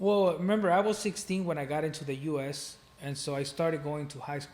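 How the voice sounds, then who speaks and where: Over noticeable background noise, a man with a Spanish accent talks at a fairly quick pace, his fairly high pitch showing ordinary variation. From Mexico City. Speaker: real estate investor. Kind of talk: casual interview.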